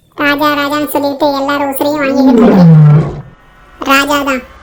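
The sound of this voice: A cartoonish character voice sits high in pitch. It moves along at a moderate pace.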